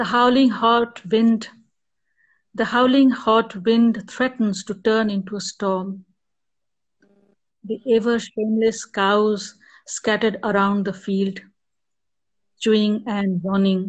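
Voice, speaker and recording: A woman speaks in a somewhat breathy, fairly high voice with monotone, flat intonation. Her pace is very slow, broken by long, frequent pauses. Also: quiet background. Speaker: poet. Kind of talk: poetry reading. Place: home room. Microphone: video call.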